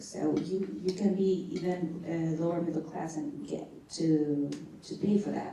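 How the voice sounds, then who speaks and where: A woman with a non-native accent speaks with ordinary pitch variation amid noticeable background noise and audible room echo. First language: not English. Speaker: graduate student asking question. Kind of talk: Q&A question at book launch. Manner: halting.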